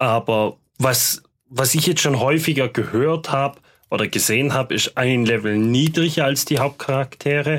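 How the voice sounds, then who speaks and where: An ordinary speaking voice from a man, fairly slow in pace, with fairly even intonation and very even loudness, on a very clean recording with a silent background. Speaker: tabletop game master. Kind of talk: casual chat.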